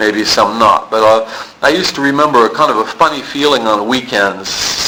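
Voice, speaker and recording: In an American accent, a man talks at a moderate pace over noticeable background noise. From US South, Palm Beach, Florida. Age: 50s. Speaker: recovery meeting speaker. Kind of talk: testimony. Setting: recovery meeting room. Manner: halting.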